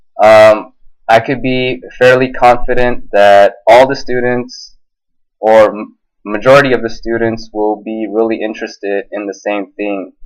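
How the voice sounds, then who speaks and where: Speaking with an American accent, a man talks at a fairly slow pace in a medium pitch. His intonation is flat and monotone. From United States. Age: 20s. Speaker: ESL teacher. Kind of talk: self-introduction video. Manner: hesitant, many fillers.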